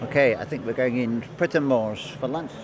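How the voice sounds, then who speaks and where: Music plays in the background while a man speaks at a moderate pace with ordinary pitch variation. Audible room echo surrounds the voice. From England, Bedfordshire. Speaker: travel vlogger. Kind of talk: voice-over narration; casual vlog talk. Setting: voice-over recording. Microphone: built-in mic failed, replaced by voice-over.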